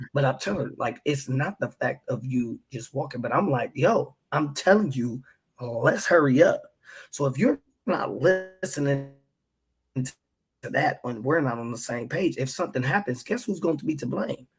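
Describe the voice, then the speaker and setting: A man speaks at a moderate pace with a fairly high pitch. His voice is somewhat breathy, with lively intonation. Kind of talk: casual chat. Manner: whispering at times.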